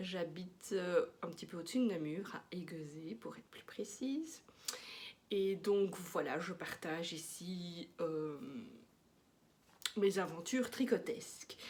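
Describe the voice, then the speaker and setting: A woman's fairly low, somewhat breathy voice with a slight Belgian accent, at a very slow pace, with long, frequent pauses and big swings in loudness. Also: ordinary pitch variation. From Belgium. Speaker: knitting podcaster. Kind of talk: casual chat. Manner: hesitant, with many fillers.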